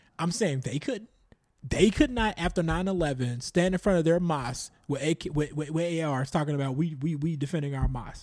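Here is a normal speaking voice from a man with an American accent. His pitch is fairly high with ordinary variation, and his pace is fairly quick. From Chicago, US Midwest. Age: 30s. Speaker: podcaster. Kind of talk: casual chat.

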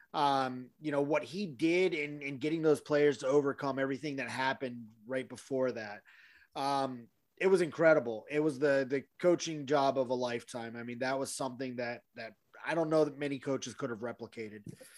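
A man at a fairly high pitch and fairly quick pace, a plain, everyday voice, on a very clean recording with a silent background. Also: ordinary pitch variation. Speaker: podcast host. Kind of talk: casual sports podcast discussion.

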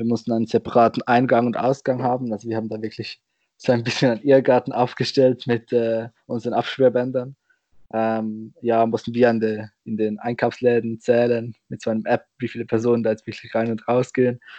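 The voice has a dark, mellow tone and a flat, monotone delivery at a fairly quick pace. The sound is dry and close, with no echo. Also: man, medium pitch for a man. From Switzerland. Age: young. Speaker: roundnet player and organizer. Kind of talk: casual chat. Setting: video call.

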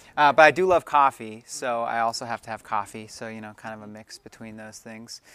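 Recorded very cleanly against a silent background, a man with an American accent speaks in a bright, sharp tone with ordinary pitch variation, big swings in loudness and hardly any pauses. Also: medium pitch for a man, fairly quick pace. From Maryland. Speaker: youth and family minister. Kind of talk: casual interview.

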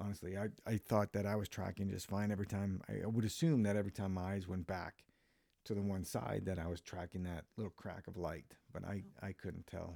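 A man with an American accent speaks at a fairly quick pace in a fairly low, dark, mellow voice with fairly even intonation, the sound dry and close with no echo. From Minnesota. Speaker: podcast host. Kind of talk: casual chat. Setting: home recording.

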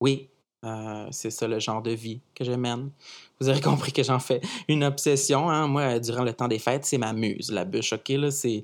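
On a very clean recording with a silent background, a man talks at a moderate pace in a medium pitch. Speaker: podcast columnist. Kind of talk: comic monologue. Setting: studio. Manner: animated.

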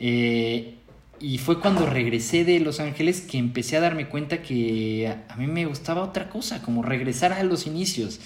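With a Mexican accent and lively intonation, a man speaks at a fairly high pitch amid noticeable background noise and audible room echo. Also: moderate pace. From Mexico. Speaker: film director. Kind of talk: interview. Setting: remote recording.

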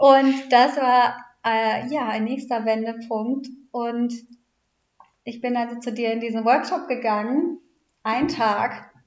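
A woman speaks at a high pitch with fairly even intonation, very slowly and with long, frequent pauses. Audible room echo surrounds her voice. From Hamburg, northern Germany. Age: 30s. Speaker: podcast co-host, mother and family coach. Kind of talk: casual interview about her life story.

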